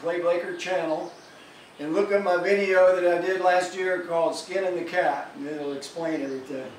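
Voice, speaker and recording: With light background noise and audible room echo, a high-pitched man speaks at a moderate pace with fairly even intonation. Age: 60s. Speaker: musician. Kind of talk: casual vlog message. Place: home room. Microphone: camera far.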